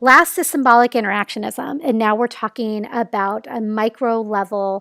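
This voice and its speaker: A woman with a normal speaking voice talks at a fairly slow pace and a fairly high pitch, with ordinary pitch variation. The sound is dry and close, with no echo. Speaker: lecturer. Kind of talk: casual academic lecture.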